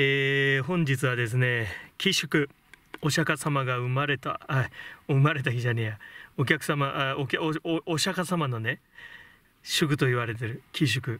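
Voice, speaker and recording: In a dry sound with no echo, a man with a bright, sharp tone and fairly high pitch speaks at a fairly slow pace with long, frequent pauses. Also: ordinary pitch variation. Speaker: tarot reader. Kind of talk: casual vlog monologue with tarot reading.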